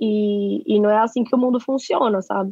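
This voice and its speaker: A woman with a strong São Paulo accent and ordinary pitch variation. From Brazil, São Paulo. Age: 20s. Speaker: advertising professional. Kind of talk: interview. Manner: slangy, laughs often.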